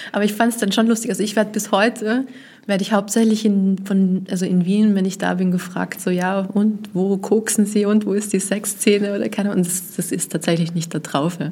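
At a fairly quick pace, a woman speaks in a monotone, flat intonation, her medium-pitched voice somewhat breathy with a dark, mellow tone. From Vienna, Austria. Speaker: journalist. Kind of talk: interview.

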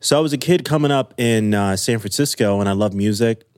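The audio is a very clean recording with a silent background. A man talks at a fairly quick pace. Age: 30s. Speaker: music executive. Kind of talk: casual interview. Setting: home.

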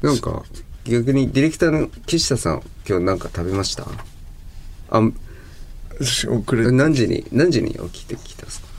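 A man of medium pitch speaks at a moderate pace with lively intonation, big swings in loudness and long, frequent pauses. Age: 30s. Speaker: guitarist and podcast co-host. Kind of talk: casual chat.

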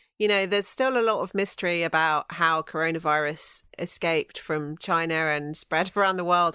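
A woman's bright, sharp tone comes through at a moderate pace. The sound is dry and close with no echo, recorded very cleanly over a silent background. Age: 40s. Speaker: comedian and writer. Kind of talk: casual chat.

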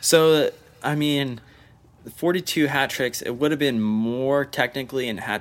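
This man has a normal speaking voice at medium pitch and lively intonation. He speaks at a fairly slow pace. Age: 20s. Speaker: soccer podcast co-host. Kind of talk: casual chat.

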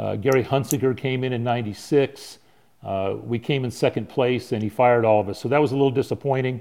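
In a Southern California accent, a man with a dark, mellow tone speaks at medium pitch and a fairly quick pace, his intonation fairly even against a quiet background. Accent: American (Southern California). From San Diego, California. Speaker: baseball pitching coach. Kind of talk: casual chat.

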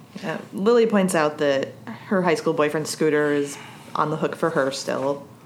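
Noticeable background noise sits behind a woman with an American accent who talks at a moderate pace in a very deep, low pitch with ordinary pitch variation. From US snow belt. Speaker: podcast co-host. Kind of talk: casual chat.

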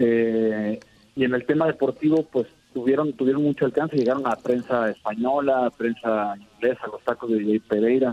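Speaking at a moderate pace, a man uses fairly even intonation at a medium pitch. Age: 30s. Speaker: sports artist, custom painter. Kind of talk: interview. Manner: halting, many repeated words.

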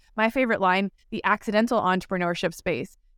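A woman with an ordinary speaking voice talks at a fairly quick pace with fairly even intonation. The recording is very clean, with a silent background and a dry, close sound with no echo. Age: 40s. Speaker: podcast host. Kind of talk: interview.

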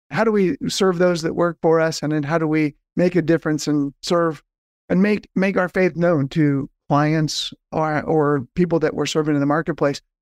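A man with an American accent and an unremarkable speaking voice talks at a moderate pace and a fairly high pitch, with fairly even intonation and very even loudness, in a dry, close sound with no echo and a quiet background. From Southern California. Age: 50s. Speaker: nonprofit fundraising consultant. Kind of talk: podcast interview.

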